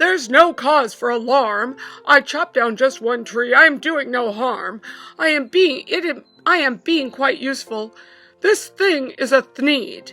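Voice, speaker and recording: In a put-on character voice, a woman speaks at a moderate pace with a high pitch and lively intonation, music in the background. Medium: read story. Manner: grunting, dismissive.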